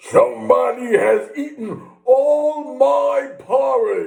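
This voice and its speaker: Growling in a put-on character voice, a man speaks very slowly at an extremely high pitch. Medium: read story.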